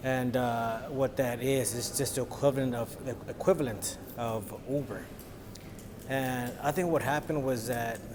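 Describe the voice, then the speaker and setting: Through noticeable background noise, a man talks at medium pitch with fairly even intonation. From Los Angeles, US. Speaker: vlogger. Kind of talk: casual vlog.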